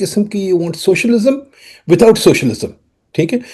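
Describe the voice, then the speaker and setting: A man speaks at a moderate pace in a somewhat breathy voice with a dark, mellow tone. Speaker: economist, interview host. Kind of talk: discussion interview.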